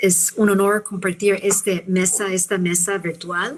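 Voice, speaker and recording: With a non-native accent, a woman speaks in a monotone, flat intonation. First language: not Spanish (speaking Spanish). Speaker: physician and professor. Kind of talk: conference talk. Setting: video call webinar.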